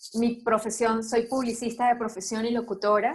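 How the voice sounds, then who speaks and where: A woman with a Venezuelan accent speaks in a fairly high voice. Her intonation is monotone and flat. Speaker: breast cancer survivor, advertiser and announcer. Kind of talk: interview testimony.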